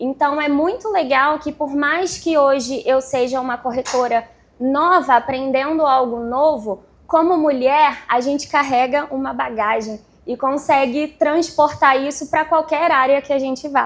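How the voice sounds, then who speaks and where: A woman's high voice at a fairly slow pace. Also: ordinary pitch variation. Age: 30s. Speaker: real estate agent and vlogger. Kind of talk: panel talk at event.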